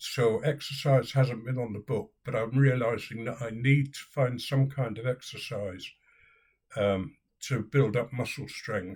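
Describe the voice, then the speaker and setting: Somewhat breathy and at medium pitch, a man with a British accent speaks at a fairly slow pace with fairly even intonation. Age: 70s. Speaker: video blogger. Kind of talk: personal vlog.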